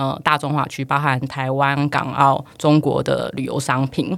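A moderate pace on a very clean recording with a silent background. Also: woman. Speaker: digital marketing and travel e-commerce professional. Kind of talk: casual interview.

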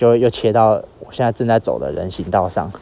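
This man has a fairly low pitch and a dark, mellow tone, speaking with a Taiwanese accent. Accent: Taiwanese Mandarin. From Taiwan, Yilan. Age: 20s. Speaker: podcaster on a walking trip. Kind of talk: spoken travel diary. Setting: outdoors. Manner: halting, many fillers.

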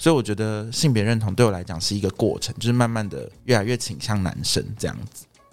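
Speaking at a fairly quick pace, a man uses a normal speaking voice with a fairly low pitch and ordinary pitch variation. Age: 30s. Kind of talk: casual chat.

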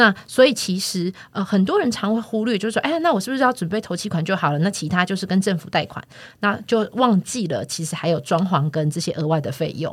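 A woman speaks at a fairly quick pace with hardly any pauses, at a medium pitch with lively intonation. Her voice is somewhat breathy, on a very clean recording with a silent background. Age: 40s. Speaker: real estate platform podcast host. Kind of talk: casual chat.

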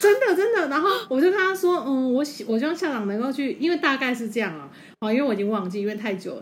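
A woman's high voice at a very fast pace, with very wide pitch swings and audible room echo. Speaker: podcast co-host. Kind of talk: casual chat.

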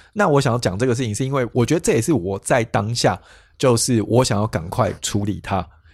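In a very clean recording with a silent background, a man speaks at a medium pitch in a somewhat breathy voice. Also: ordinary pitch variation, fairly quick pace. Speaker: podcast co-host. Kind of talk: casual chat about emotions.

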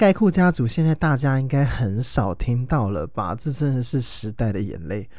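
This man's pitch rises and falls across a very wide range. He keeps to a moderate pace. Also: medium pitch for a man. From Taiwan, Taoyuan. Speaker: podcast host. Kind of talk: casual monologue. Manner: halting, many fillers.

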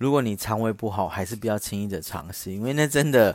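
A man with a medium pitch and lively intonation talks at a fairly quick pace in a very clean recording with a silent background. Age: 30s. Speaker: podcast host. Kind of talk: casual storytelling monologue. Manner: louder than before.

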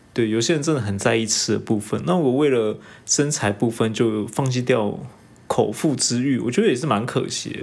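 An unremarkable speaking voice, a man at medium pitch with ordinary pitch variation and a fairly quick pace. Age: 30s. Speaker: podcast co-host. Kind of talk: casual chat.

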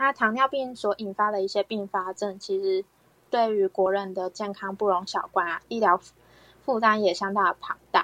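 A woman with a bright, sharp tone and medium pitch speaks at a moderate pace with fairly even intonation, the sound dry and close with no echo. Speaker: health educator hosting talk. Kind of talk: health education talk. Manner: many filler particles.

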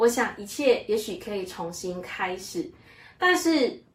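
On a very clean recording with a silent background, a woman speaks at a very slow pace in a fairly high pitch. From Malaysia. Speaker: church member sharing her life story. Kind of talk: testimony.

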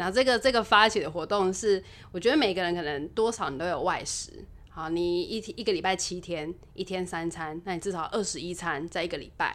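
A woman talks at a fairly quick pace in a normal speaking voice. Her medium pitch shows ordinary variation. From Taiwan, Taipei. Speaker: restaurant owner and chef. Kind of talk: casual interview chat. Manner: cheerful, frequent laughter.

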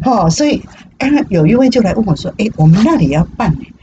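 A woman talks fairly quickly in an animated tone, with very wide pitch swings. Noticeable background noise sits behind her. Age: 60s. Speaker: retiree working at senior cafe. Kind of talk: casual interview chat. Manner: animated, frequent laughter.

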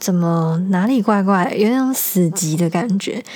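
Over noticeable background noise, a woman speaks fairly slowly at a medium pitch. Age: 20s. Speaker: podcast host. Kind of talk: casual monologue; reading aloud.

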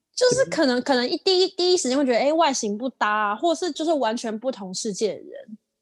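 Speaking at a very fast pace, a woman uses a high pitch that swings very widely. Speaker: podcast co-host. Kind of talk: casual chat. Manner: calm, even.

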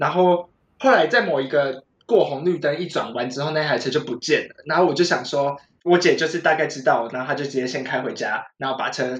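The voice is a normal speaking voice with ordinary pitch variation. It moves at a fairly quick pace. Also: man, fairly high pitch for a man. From Taiwan, Taichung. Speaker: podcast guest. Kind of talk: casual chat. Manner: laughs often.

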